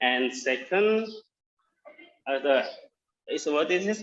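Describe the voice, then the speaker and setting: A man with a Javanese accent and lively intonation. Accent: Indonesian (Javanese) English. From Central Java, Indonesia. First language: Indonesian. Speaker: workshop participant. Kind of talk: practice presentation. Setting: video call. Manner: halting.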